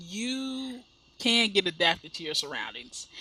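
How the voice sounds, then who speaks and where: Speaking very slowly, a woman with an American accent has a fairly high pitch and a bright, sharp tone. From US Midwest. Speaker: gaming YouTuber. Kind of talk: let's play commentary. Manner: chatty, halting with repeats.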